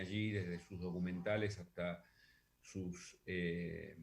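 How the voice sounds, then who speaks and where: The delivery comes at a very slow pace with fairly even intonation. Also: man. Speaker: radio host. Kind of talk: casual monologue. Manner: loud; hesitant, many fillers.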